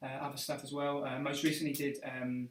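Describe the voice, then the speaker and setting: This man's delivery is monotone and flat. He talks rather quickly. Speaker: actor, live stream co-host. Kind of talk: casual live stream chat. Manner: fast; stumbling over words.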